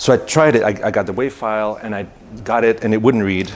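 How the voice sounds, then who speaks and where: Over noticeable background noise, a man talks at a fairly quick pace with a non-native accent. His voice is medium-pitched with ordinary pitch variation. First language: not English. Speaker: conference speaker, software developer. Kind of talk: technical presentation. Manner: halting, many fillers.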